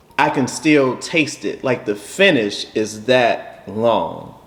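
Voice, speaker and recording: Over noticeable background noise, a man with a fairly high pitch talks at a very slow pace. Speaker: bourbon reviewer. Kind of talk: casual chat. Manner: halting.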